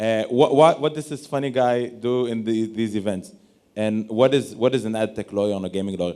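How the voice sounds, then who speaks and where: Speaking fairly quickly with an Israeli accent, this voice has a dark, mellow tone and ordinary pitch variation. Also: man, medium pitch for a man. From Israel, Tel Aviv. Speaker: lawyer. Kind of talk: panel discussion.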